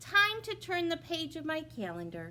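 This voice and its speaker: In a put-on character voice, the speaker sounds squeaky and high-pitched, moving at a moderate pace over clear background noise. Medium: read story. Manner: gentle, slow.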